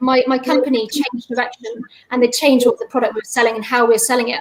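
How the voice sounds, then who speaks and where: A woman is speaking. Her voice is high in pitch. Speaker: salesperson and neurodiversity speaker. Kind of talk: personal testimony talk. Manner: fast.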